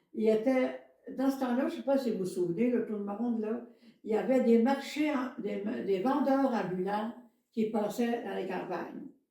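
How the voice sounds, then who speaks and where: Amid audible room echo, a woman with a fairly high voice speaks at a moderate pace with ordinary pitch variation. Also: long, frequent pauses. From Quebec, Beauce region. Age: 80s+. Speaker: antique shop owner. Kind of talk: casual interview chat. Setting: podcast recording. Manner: halting, many fillers and repetitions.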